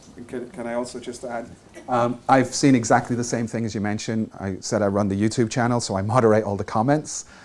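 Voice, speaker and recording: Someone with an Irish accent speaks at a very fast pace. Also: man, medium pitch for a man, fairly even intonation. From Ireland. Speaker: tech panelist, developer advocate. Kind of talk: panel discussion.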